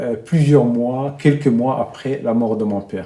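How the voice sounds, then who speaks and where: Ordinary pitch variation runs through the speech. The pace is very slow. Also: man. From central Burundi, rural. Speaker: documentary subject, journalist. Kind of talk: interview testimony.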